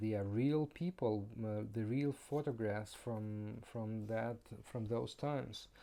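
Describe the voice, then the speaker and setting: With a non-native accent, a man speaks in a dark, mellow tone with ordinary pitch variation. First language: not English. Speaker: board game reviewer. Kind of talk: game review. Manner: halting.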